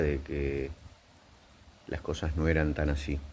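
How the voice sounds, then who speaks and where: At a fairly slow pace, a man speaks with an Argentine accent. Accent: Rioplatense Argentine Spanish. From Argentina. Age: 60s. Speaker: psychiatrist. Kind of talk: video commentary. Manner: hesitant, with fillers.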